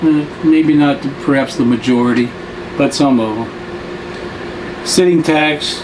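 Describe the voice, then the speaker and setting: Amid noticeable background noise and audible room echo, a man with an American accent speaks very slowly at a fairly high pitch with ordinary pitch variation. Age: 70s. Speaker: retiree travel vlogger. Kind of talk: casual monologue. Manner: halting, with many fillers.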